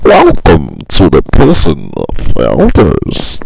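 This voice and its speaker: A man does a put-on character voice at a very slow pace. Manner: grim, theatrical welcome.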